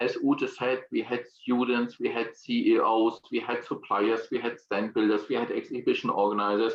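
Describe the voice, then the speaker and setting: With a strong German accent, a man keeps a moderate pace with hardly any pauses. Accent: German accent, self-described as strong. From Germany. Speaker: exhibition industry consultant. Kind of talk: online presentation. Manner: hesitant, with fillers and repetitions.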